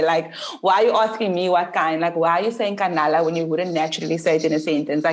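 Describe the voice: Very fast speech with hardly any pauses, over noticeable background noise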